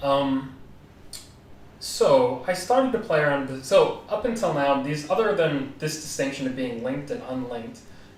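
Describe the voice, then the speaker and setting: A man with an American accent speaks at a moderate pace and a fairly high pitch. His pitch swings very widely against noticeable background noise. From United States. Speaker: podcast co-host, blockchain developer. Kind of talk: technical explanation in a podcast. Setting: live-streamed podcast.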